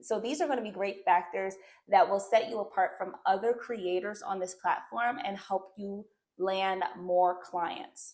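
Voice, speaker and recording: A woman with a strong New Jersey accent speaks at a fairly slow pace in an upbeat tone, her pitch medium. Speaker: YouTuber on side hustles. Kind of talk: online tutorial. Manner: casual, upbeat.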